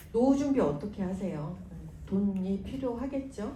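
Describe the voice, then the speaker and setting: A woman speaks in a calm tone with lively intonation. Audible room echo and noticeable background noise fill the recording. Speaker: business sponsor speaker. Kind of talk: motivational seminar talk. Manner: slow; calm, lullaby-like.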